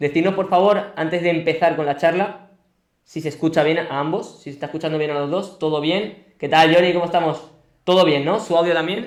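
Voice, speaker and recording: A man's high voice, fairly quick in pace, with fairly even intonation. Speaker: podcast host. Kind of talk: live-streamed interview. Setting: home studio.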